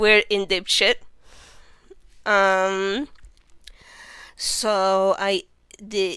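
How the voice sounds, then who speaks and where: On a very clean recording with a silent background, a woman speaks at a very slow pace in a medium pitch, her bright, sharp tone set in monotone, flat intonation. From Venezuela. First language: Spanish. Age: 20s. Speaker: vtuber streamer. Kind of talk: casual livestream self-introduction. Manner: hesitant, many fillers.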